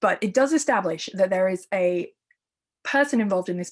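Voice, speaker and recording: A woman speaks at a medium pitch with an English accent. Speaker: art historian and curator. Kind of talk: lecture. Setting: virtual talk.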